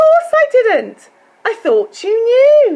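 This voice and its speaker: A woman puts on a squeaky character voice at an extremely high pitch, speaking very slowly with very wide pitch swings. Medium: read story. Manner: eager, self-assured.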